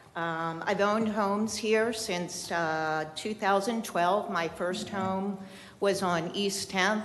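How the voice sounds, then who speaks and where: Audible room echo surrounds a woman of medium pitch who speaks at a fairly slow pace with fairly even intonation. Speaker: local resident speaking at public comment. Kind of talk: public comment at city meeting. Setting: city commission meeting chamber. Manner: loud.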